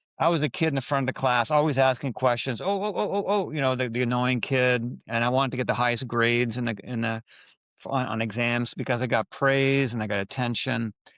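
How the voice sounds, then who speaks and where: At a very fast pace, a man of medium pitch speaks with ordinary pitch variation. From Quebec, raised in Ontario, Canada. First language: French. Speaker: biotech talent director. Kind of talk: podcast interview.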